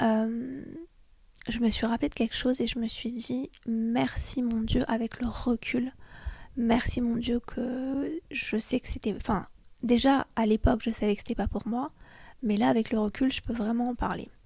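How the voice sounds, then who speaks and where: Fairly even in intonation, a woman's speech unfolds at a somewhat slow pace. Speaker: podcast host. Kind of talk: casual chat. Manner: hesitant, many fillers.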